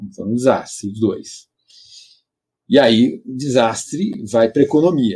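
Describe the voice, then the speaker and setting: The tone is dark and mellow, the pace fairly slow. Intonation stays lively throughout. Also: man. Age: 50s. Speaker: economics professor. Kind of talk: interview.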